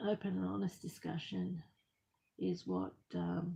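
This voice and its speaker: A soft-spoken voice with a dark, mellow tone, vocal fry, and very wide pitch swings. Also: woman. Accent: Australian. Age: 50s. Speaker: crafter vlogger. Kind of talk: personal testimony. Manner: halting.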